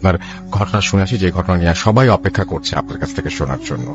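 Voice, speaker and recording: Lively intonation and a resonant voice over music in the background. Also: man, very deep, low pitch for a man. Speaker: radio show host.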